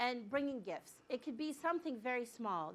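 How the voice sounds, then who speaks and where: This is a woman speaking. Her pitch is high. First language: bilingual Arabic and English. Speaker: director of a refugee support nonprofit. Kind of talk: lecture. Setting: hospital grand rounds talk.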